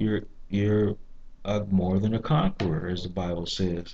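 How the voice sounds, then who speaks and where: Soft-spoken and moderate in pace, a man talks in a dark, mellow tone. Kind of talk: monologue video review with preaching. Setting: library. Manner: halting, many fillers and repeats. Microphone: too quiet.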